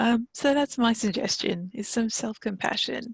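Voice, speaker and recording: Soft-spoken and somewhat breathy, a woman with a fairly high pitch speaks in a calm tone at a moderate pace, recorded dry and close with no echo. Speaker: counsellor. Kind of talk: interview.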